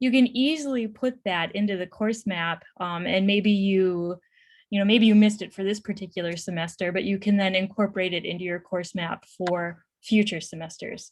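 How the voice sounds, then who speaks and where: A somewhat breathy woman at a medium pitch with ordinary pitch variation, on a very clean recording with a silent background. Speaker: professor. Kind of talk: Q&A after a conference presentation. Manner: fast.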